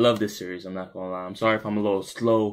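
A man speaks with a fairly low pitch. His intonation is lively. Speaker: gaming youtuber. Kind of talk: casual vlog chat.

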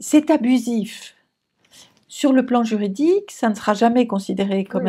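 Her fairly high voice has a dark, mellow tone, and this woman speaks at a fairly slow pace with lively intonation. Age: 70s. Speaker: psychoanalyst. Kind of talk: interview.

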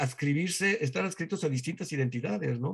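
A man speaks with lively, bouncing intonation. The background is quiet. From Mexico. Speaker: museum director; guest. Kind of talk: interview conversation. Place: home room. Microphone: webcam.

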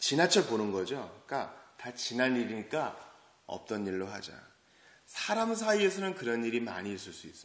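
In an animated, dramatic tone, the speaker's pitch swings very widely and loudness shifts greatly, with audible room echo around the voice. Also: man, medium pitch for a man, moderate pace. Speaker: preacher. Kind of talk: sermon at early-morning church service. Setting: church. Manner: animated, conversational, dramatic storytelling with rhetorical questions. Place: church.

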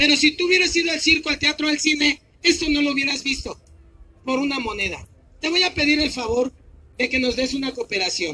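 In a put-on character voice, a man talks at a fairly quick pace and an extremely high pitch. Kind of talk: street show barker patter. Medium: stage play. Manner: playful, cajoling.

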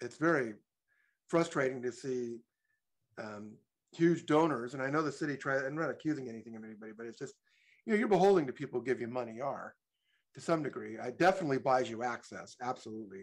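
Over a quiet background, a man talks at a very fast pace. He takes long, frequent pauses and his loudness swings widely. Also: lively intonation. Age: 60s. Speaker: public commenter. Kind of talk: public comment. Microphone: video call.

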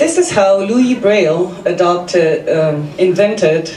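In a Slovenian accent, a woman speaks at a fairly slow pace, with light background noise and audible room echo. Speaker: service designer and amateur comedian. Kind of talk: stand-up comedy set with self-deprecating punchlines. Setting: stage with audience. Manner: wry, self-mocking delivery timed for audience laughs; brisk, run-on setups building to punchlines. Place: stage.

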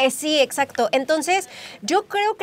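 This woman speaks at a moderate pace. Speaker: interviewee, makeup creator. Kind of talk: interview answer. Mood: warm, cheerful. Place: studio.

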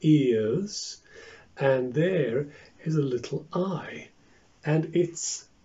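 A man's somewhat breathy voice. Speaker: shadow puppet teacher. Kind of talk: tutorial. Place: home room. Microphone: phone near.

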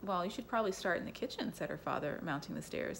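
Lively intonation marks this plain reading aloud.

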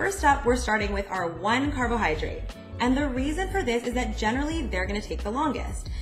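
A woman speaks at a moderate pace. Clear music can be heard behind her. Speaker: dietitian vlogger. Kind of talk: tutorial. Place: kitchen.

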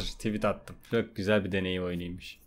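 A man is speaking. Light background noise runs underneath. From Turkey. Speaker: gaming youtuber. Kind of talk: let's play commentary. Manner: animated. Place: home room. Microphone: studio mic.

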